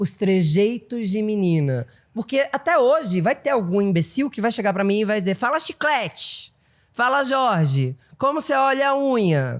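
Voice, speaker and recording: The man's voice is high-pitched and shrill, moving at a moderate pace. His pitch swings very widely. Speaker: TV journalist and presenter. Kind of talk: casual interview chat. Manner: effeminate.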